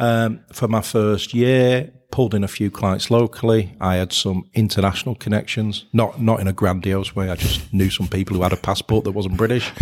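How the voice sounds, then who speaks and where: With a northern English accent, a man with fairly low pitch talks with fairly even intonation and hardly any pauses. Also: moderate pace, very clean recording, silent background. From northern England. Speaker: accountant and business owner. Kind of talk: casual interview chat.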